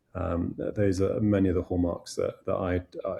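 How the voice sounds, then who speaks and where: Somewhat breathy, a man with a British accent speaks in a very deep, low pitch with a dark, mellow tone. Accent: British-sounding. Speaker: head of an international school. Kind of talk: podcast interview. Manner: halting, many repetitions.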